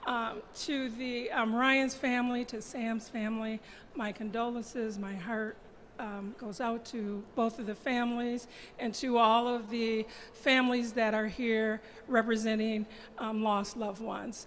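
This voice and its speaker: The voice is loud. It moves at a fairly slow pace. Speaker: nonprofit executive director. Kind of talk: rally speech. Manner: projecting loudly.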